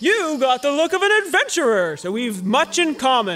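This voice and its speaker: A man's put-on character voice, extremely high-pitched with very wide pitch swings, at a moderate pace over faint background music. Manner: boastful, gruff.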